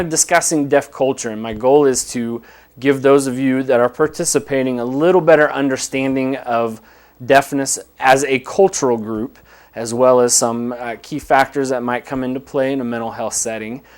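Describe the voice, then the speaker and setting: This man talks at a moderate pace with medium pitch and ordinary pitch variation. His loudness swings widely. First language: American Sign Language. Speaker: director of deaf services, counselor. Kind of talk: lecture. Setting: live webcast.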